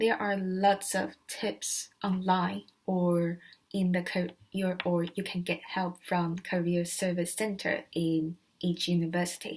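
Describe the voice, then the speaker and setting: A woman talks at a very slow pace, her voice somewhat breathy and fairly low-pitched. Her intonation stays fairly even. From Asia. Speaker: student. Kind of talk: vlog tutorial. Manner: hesitant with filler words.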